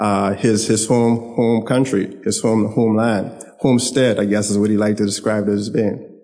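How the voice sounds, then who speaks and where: Monotone and flat, a man speaks at a fairly quick pace with medium pitch. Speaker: son giving eulogy. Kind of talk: eulogy remarks.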